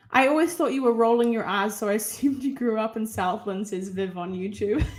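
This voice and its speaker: A woman with a New Zealand accent, fairly high-pitched and fairly quick, with ordinary pitch variation and music in the background. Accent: New Zealand, heard by some as South African. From New Zealand (Auckland). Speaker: plant content creator. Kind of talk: live Q&A chat. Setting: home livestream. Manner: casual, rambling with fillers.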